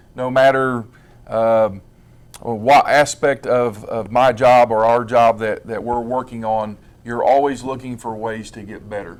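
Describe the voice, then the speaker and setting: Calm in tone, a man speaks at a fairly slow pace and a medium pitch, with fairly even intonation but big swings in loudness. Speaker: school administrator. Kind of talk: interview. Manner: halting.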